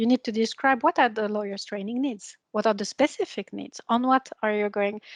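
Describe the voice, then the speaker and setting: A woman's fairly quick, fairly even-toned speech with a non-native accent, dry and close with no echo. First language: not English. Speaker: EU official. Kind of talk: presentation. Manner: halting.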